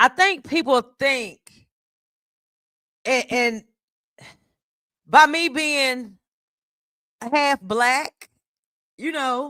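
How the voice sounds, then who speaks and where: Raised and projected, the voice has a bright, sharp tone and ordinary pitch variation, broken by long, frequent pauses. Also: woman, high pitch for a woman. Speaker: streamer. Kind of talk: heated debate. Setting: live stream panel. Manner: repetitive, stammering.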